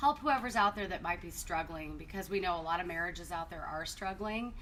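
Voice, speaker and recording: A woman with an American accent speaks at a fairly quick pace and medium pitch. Her pitch varies in an ordinary way over noticeable background noise. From Arizona, North Phoenix. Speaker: marriage ministry co-host. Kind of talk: personal testimony. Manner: casual, conversational.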